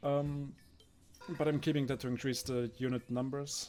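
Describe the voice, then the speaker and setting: A man with a non-native accent, with music in the background. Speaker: gaming video creator. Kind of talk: gameplay commentary. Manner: casual with fillers.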